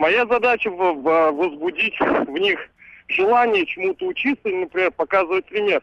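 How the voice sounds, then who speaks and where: A man speaks in a high voice whose pitch varies in an ordinary way. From Ivanovo, central Russia. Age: 20s. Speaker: caller, young father and musician. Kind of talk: casual phone-in chat.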